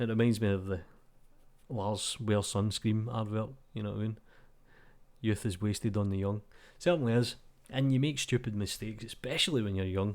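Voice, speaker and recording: Fairly quick speech from a man with a Glasgow accent, fairly low in pitch with ordinary pitch variation, broken by long, frequent pauses, in a very clean recording with a silent background. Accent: Glasgow Scottish. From Scotland. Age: 30s. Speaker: 3D artist. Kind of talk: casual talk to camera. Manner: informal, ranting.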